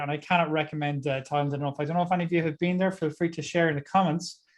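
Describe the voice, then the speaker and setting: A man speaks with an Irish accent in a fairly high pitch. His intonation is monotone and flat. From Ireland. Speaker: tax advisor speaker. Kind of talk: webinar talk. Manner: fast.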